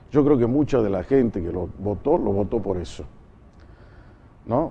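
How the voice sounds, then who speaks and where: A man speaks at a moderate pace with a medium pitch. His pitch swings very widely. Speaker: talk show host, journalist. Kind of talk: political interview.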